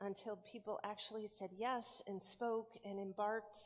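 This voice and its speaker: A woman's monotone, flat intonation at a moderate pace. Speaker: pastor. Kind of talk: sermon-style welcome and announcements. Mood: warm, welcoming. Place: church.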